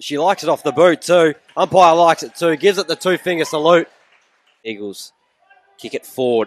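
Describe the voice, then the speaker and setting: An Australian-accented man speaks in an upbeat tone at a fairly quick pace, his voice high for a man, with ordinary pitch variation, big swings in loudness, and long, frequent pauses. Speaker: match commentator. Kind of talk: live commentary. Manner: brisk, lively, upbeat.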